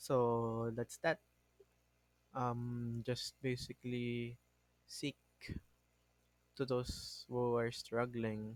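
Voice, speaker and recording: A man with a non-native accent speaks at a very slow pace and medium pitch, in a monotone, flat intonation with long, frequent pauses, his sound dry and close with no echo. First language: not English. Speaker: podcast host. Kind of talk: casual monologue. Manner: halting, self-correcting.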